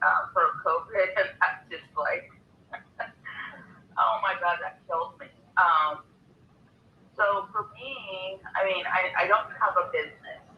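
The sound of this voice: A man speaks at a slow pace with a high pitch. His pitch varies in an ordinary way, and he takes long, frequent pauses.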